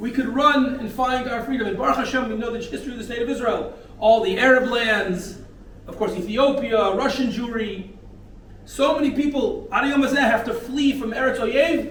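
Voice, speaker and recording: Someone with an American accent speaks at a fairly quick pace amid noticeable background noise and audible room echo. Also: man. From North America. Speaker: rabbi of community. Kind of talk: sermon. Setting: men's breakfast gathering.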